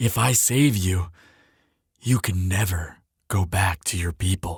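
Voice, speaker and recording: Using a put-on character voice, a man speaks fairly slowly in a raspy, very deep, low pitch. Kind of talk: intimate listener-addressed roleplay audio. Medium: audio drama. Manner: soft, earnest, hesitant.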